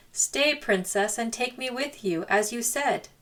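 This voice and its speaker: In a high, put-on character voice, a woman talks fairly slowly. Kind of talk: fairy tale read-aloud. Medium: read story. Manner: polite, old-fashioned, insistent.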